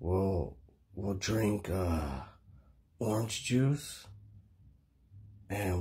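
The voice is somewhat breathy and moves at a very slow pace. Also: man. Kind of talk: comedy sketch dialogue. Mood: laid-back, sleepy persuasion. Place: home room. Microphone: phone near.

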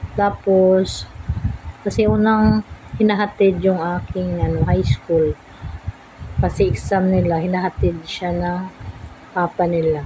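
Amid noticeable background noise, a woman talks fairly slowly with long, frequent pauses. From Philippines. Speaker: food vlogger; home food vlogger. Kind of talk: casual vlog talk. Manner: halting. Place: home room. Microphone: phone near.

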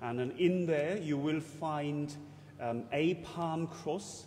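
There's light background noise as a man talks at a very slow pace. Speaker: priest or church officer giving notices. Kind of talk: church announcements. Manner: halting, chatty, with filler words. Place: church.

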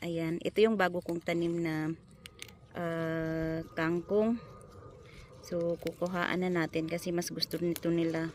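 Flat, monotone intonation runs through speech delivered at a fairly slow pace. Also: woman, fairly low pitch for a woman. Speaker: vlogger. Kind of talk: casual vlog talk. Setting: outdoors.

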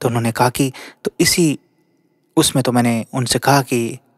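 A man's unremarkable speaking voice at medium pitch and moderate pace, in a very clean recording with a silent background and a dry, close sound with no echo. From Haryana, India. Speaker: storyteller. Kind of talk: narrated storytelling.

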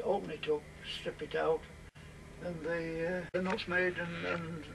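A man talks fairly slowly while noticeable background noise is present. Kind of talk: interview answer. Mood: calm, explanatory. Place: workshop.

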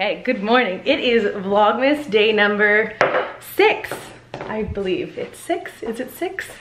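A woman talks at a fairly slow pace, with noticeable background noise behind her. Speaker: vlogger. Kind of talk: casual vlog chat. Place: home room. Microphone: phone near.

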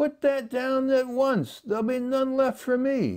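A man puts on a character voice at an extremely high, shrill pitch. He speaks at a fairly slow pace. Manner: screeching, indignant.

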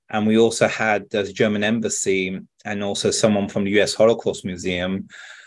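Against a quiet background, a man with a British accent talks at a fairly quick pace. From France. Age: 30s. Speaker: video game director. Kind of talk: interview answer. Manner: casual, chatty. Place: home room. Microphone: earbuds.

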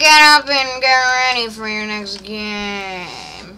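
A woman's very slow, put-on character voice, pitched fairly high. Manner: commanding, booming announcer delivery.

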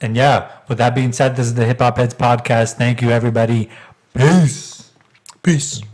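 At a moderate pace, a normal speaking voice delivers its words with fairly even intonation. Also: man, medium pitch for a man. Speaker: podcast host. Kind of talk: casual chat.

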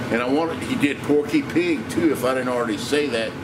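Noticeable noise runs in the background. Over it, a man talks at a moderate pace. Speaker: home cook vlogger. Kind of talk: casual vlog chat. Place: kitchen. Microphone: phone near.

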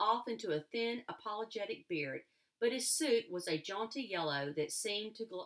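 Lively intonation in a natural reading voice

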